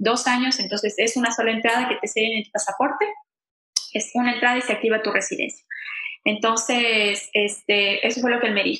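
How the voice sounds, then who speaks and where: A woman's fairly high voice with fairly even intonation and very even loudness. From Ecuador, Quito. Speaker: immigrant, bank employee. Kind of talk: interview testimony. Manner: halting, many repetitions and fillers.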